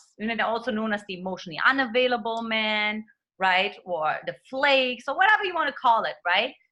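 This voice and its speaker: A woman talks at a fairly quick pace with a German accent, her pitch fairly high with ordinary variation. Her tone is bright and sharp against a quiet background. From Eastern Germany. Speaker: dating coach. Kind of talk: interview.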